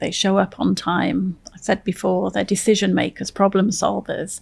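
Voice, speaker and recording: On a very clean recording with a silent background, a woman speaks in an English accent. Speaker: veteran nonprofit executive, military veteran. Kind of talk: interview conversation.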